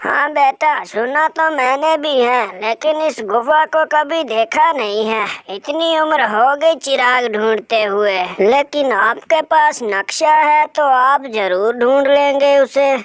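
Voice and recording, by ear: This cartoonish character voice sits at a high pitch and moves at a fairly slow pace.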